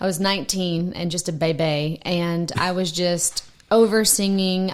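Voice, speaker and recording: A Southern US accent amid noticeable background noise. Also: woman, fairly low pitch for a woman, fairly even intonation, fairly slow pace. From US South, Alabama. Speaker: singer-songwriter. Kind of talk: casual chat.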